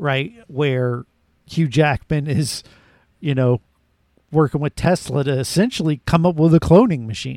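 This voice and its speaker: An ordinary speaking voice from a man, fairly high in pitch with ordinary variation, at a fairly slow pace, in a dry, close sound with no echo. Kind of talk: casual banter podcast. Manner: joking, interrupting.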